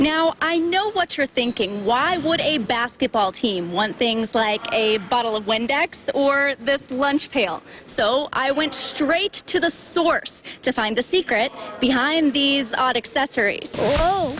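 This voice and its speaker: Very slow speech with lively intonation, very even loudness and hardly any pauses, over noticeable background noise. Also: woman, high pitch for a woman. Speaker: sports reporter. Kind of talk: TV sports news anchoring and reporting.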